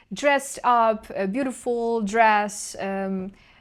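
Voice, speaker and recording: This very clean recording with a silent background features a woman with a Ukrainian accent. Her pitch is fairly high, with ordinary variation. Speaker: channeler and intuitive guide. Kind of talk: video diary monologue. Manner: halting, self-correcting.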